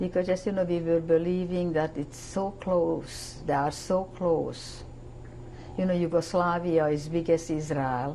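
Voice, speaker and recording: A woman with a Hungarian accent talks at a fairly slow pace in a fairly low, monotone, flat voice. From Hungary. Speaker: Holocaust survivor. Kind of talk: testimony.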